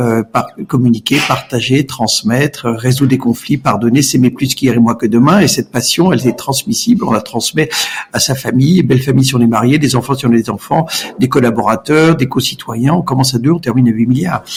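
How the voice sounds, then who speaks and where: Over noticeable background noise, a man talks at a medium pitch with very even loudness. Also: ordinary pitch variation, fairly quick pace. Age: 60s. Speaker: entrepreneur. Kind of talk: podcast interview. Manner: hesitant, repeats words.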